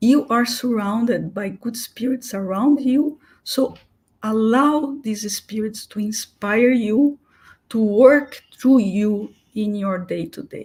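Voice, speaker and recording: Somewhat breathy and fairly high, a woman's voice goes at a very slow pace with ordinary pitch variation. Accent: non-native. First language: not English. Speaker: spiritist speaker. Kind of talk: talk. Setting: online live stream. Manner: halting, with fillers.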